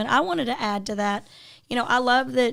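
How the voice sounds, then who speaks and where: On a very clean recording with a silent background, a plain, everyday voice speaks with ordinary pitch variation. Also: woman. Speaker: podcast host. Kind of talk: podcast interview host.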